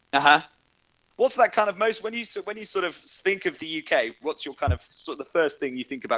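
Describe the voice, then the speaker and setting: This man has a British accent and talks at a very fast pace. The sound is dry and close, with no echo. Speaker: online chat host. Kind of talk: casual chat. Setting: Discord voice chat.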